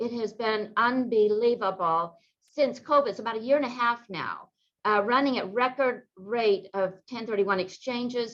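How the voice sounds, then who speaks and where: A woman speaks in an ordinary speaking voice at a moderate pace. Her pitch varies in an ordinary way. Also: fairly high pitch for a woman. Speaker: real estate attorney. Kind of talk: webinar presentation.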